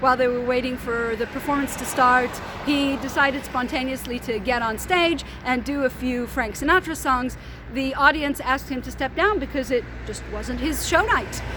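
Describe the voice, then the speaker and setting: A high-pitched woman's raised, projected voice amid noticeable background noise. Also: ordinary pitch variation, moderate pace. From Israel, Tel Aviv. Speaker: tour guide. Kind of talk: guided tour. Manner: casual with fillers.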